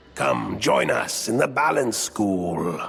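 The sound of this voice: Putting on a character voice, a man speaks slowly at a medium pitch, his tone fairly bright with vocal fry and lively intonation, over faint music in the background.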